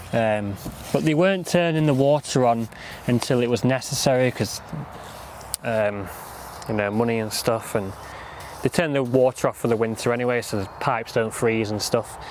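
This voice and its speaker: A man with a Lancashire accent talks at a moderate pace and medium pitch with ordinary pitch variation and long, frequent pauses, with noticeable background noise behind him. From northern England, Lancashire. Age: 20s. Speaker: gardening vlogger. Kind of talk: casual monologue while working. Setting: outdoors at allotment. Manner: rambling, chatty.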